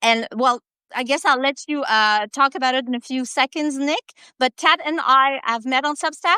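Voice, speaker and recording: In a very clean recording with a silent background and a dry, close sound with no echo, a woman with a French-Canadian accent uses a raised, projected voice, high in pitch with a bright, sharp tone, ordinary pitch variation and a moderate pace. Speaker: live-stream co-host. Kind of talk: casual chat. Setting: live video stream. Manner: halting.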